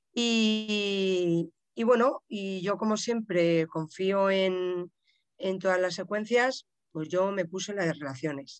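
Very slowly, a woman speaks at a medium pitch. Her pitch variation is ordinary. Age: 50s. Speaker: podcast listener and practitioner, works with her hands. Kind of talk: casual interview.

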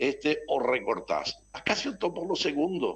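A man speaks at a very slow pace. His voice is high-pitched, with a bright, sharp tone. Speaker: pension board director representing retirees. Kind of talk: radio interview.

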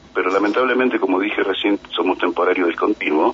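A man talks fairly quickly, and noticeable background noise can be heard behind him. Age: 40s. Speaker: trade union leader. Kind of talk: radio interview.

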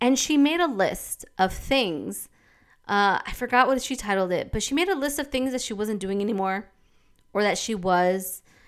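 Fairly high-pitched woman with lively intonation at a moderate pace, on a very clean recording against a silent background. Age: 30s. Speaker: podcast host. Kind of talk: casual monologue.

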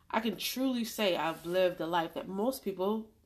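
An unremarkable speaking voice from a woman, at a moderate pace, medium in pitch and with ordinary pitch variation. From New York City, South Jamaica, Queens (military family, moved often). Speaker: podcast host, financial educator. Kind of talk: solo monologue podcast.

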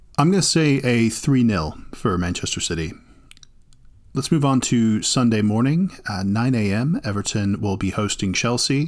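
A man with an American accent has a plain, everyday voice. He talks at a moderate pace with lively intonation. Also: medium pitch for a man. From United States. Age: 30s. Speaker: football podcast host. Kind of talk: casual chat.

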